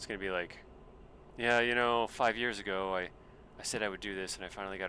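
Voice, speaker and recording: With an American accent, a man speaks at a very deep, low pitch. His tone is bright and sharp, and his intonation fairly even. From US South (Space Coast of Florida, Brevard County). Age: 40s. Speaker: gaming live streamer. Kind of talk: casual gaming livestream chat. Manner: casual, rambling with many fillers.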